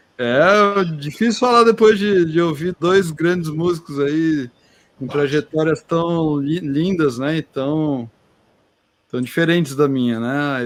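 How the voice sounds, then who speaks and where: At a fairly slow pace, a man with a normal speaking voice talks at a fairly high pitch with ordinary pitch variation. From interior of São Paulo state (Americana). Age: 40s. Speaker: oceanographer and teacher. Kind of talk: casual chat. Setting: online live stream.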